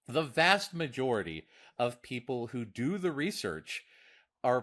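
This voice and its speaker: Speaking at a fairly slow pace, a man with a medium pitch shows lively intonation and vocal fry. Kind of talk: casual podcast discussion. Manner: halting, frequent repetitions.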